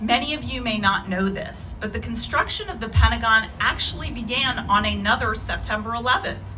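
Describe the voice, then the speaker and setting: Against noticeable background noise and audible room echo, a woman talks at a fairly quick pace with hardly any pauses. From Iran. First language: Farsi. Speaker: lawyer and keynote speaker. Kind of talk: memorial keynote speech. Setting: memorial event with audience. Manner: formal.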